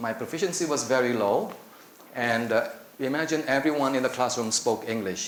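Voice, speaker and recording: With an Indonesian accent, the speaker goes at a moderate pace with ordinary pitch variation, over audible room echo and noticeable background noise. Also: man. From Indonesia (Java). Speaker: applied linguistics academic. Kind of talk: conference presentation. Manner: halting, with fillers and repetitions.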